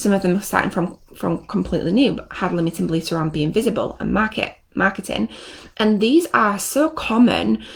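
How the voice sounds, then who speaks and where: Using vocal fry, a woman speaks at a fairly quick pace in a medium pitch with very wide pitch swings. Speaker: NLP trainer and coach. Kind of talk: live stream teaching. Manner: fast; animated.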